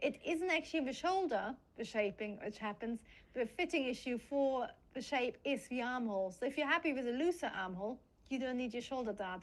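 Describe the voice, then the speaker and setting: A woman with a German accent at a fairly quick pace, high in pitch with lively intonation. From Germany (Munich), educated in Britain. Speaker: pattern cutting teacher. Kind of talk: casual chat. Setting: live stream.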